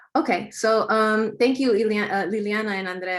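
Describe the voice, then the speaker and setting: Over a silent background in a very clean recording, a woman talks at a moderate pace with fairly even intonation. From US West Coast, East Palo Alto, California. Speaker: community organizer, nonprofit director. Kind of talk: panel presentation.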